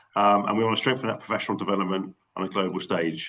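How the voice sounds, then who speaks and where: A man talks in a Cockney accent. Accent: London Cockney. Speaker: network meeting chair. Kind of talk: online meeting. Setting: video call. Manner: fast.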